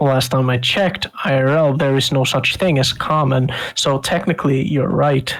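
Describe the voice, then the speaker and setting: At a moderate pace, the words come out with a non-native accent. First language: not English. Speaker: tabletop game player. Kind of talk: casual chat.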